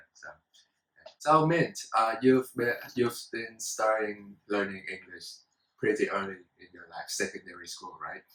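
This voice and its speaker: A Vietnamese accent at a fairly slow pace, with big swings in loudness. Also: man. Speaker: student talk show host. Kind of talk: casual talk show discussion.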